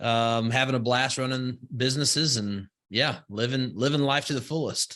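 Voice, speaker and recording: In a Southern US accent, a man speaks at a medium pitch with fairly even intonation. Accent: Southern US, slow vowels. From US South, rural Alabama. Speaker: entrepreneur and investor. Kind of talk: podcast interview. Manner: slow vowels.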